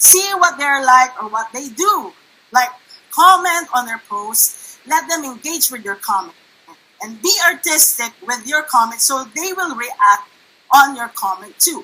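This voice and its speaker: Raised and projected, a woman's high-pitched voice has a bright, sharp tone, moving at a fairly slow pace with very wide pitch swings and big swings in loudness. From Philippines (Manila). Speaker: network marketing presenter. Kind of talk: online workshop presentation. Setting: livestream.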